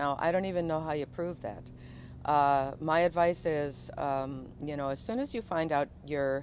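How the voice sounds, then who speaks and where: Pitch rises and falls as it ordinarily would. The speed sits in the middle range. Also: woman, very deep, low pitch for a woman. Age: 60s. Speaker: video blogger, retired teacher. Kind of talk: monologue commentary. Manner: halting, many fillers.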